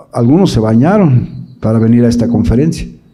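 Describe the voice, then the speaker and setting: A man talks at a moderate pace in a dark, mellow tone with lively intonation. The room adds audible echo. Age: 60s. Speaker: evangelical theologian and speaker. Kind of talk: conference talk to parents. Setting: live audience at a conference.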